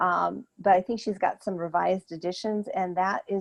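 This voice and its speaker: A woman with an unremarkable speaking voice talks at a moderate pace and medium pitch. Her pitch varies in an ordinary way, and the sound is dry and close with no echo. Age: 60s. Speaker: therapist and cancer wellness coach. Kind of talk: Q&A after an online talk.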